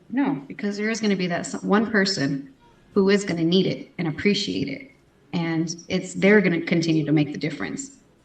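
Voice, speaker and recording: A woman with an American accent speaks at a fairly quick pace and a fairly low pitch, with noticeable background noise behind her. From Texas. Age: 30s. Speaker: pageant titleholder and houseparent. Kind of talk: interview.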